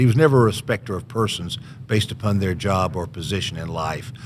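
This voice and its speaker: Very fast, lively speech from a man with a Southern US accent. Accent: Southern US (Georgia). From US South, Georgia (Columbus). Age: 70s. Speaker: author. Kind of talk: podcast interview.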